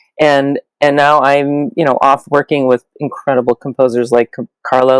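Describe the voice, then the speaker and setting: A woman's very deep, low voice at a moderate pace, dry and close with no echo, over a quiet background. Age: 60s. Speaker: opera librettist. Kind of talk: interview.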